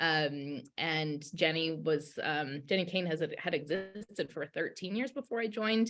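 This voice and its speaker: Talking at a fairly slow pace with hardly any pauses, a woman with an American accent uses lively intonation at a fairly low pitch against a quiet background. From California, Bay Area. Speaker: business executive. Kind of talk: panel discussion.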